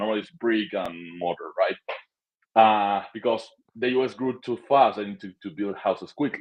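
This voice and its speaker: A man with a Spanish accent speaks at a moderate pace and a medium pitch. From Argentina. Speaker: short-term rental property manager. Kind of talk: interview.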